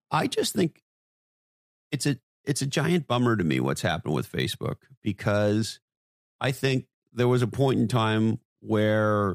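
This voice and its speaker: An unremarkable speaking voice from a man, fairly low in pitch and fairly slow, with lively intonation and a dry, close sound with no echo. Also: very clean recording, silent background. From Canada, Montreal. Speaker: marketing executive and author. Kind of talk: interview.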